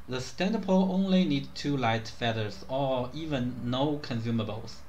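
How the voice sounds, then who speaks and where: A man with a non-native accent speaks at a medium pitch with lively intonation and a somewhat breathy voice, and the room echo is audible. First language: not English. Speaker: gaming video creator. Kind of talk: tutorial.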